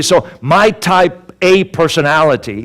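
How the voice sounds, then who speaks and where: With lively intonation and an animated tone, a man talks at a high pitch. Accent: Swedish. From Sweden. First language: Swedish. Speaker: motivational speaker. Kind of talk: sermon. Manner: animated storytelling.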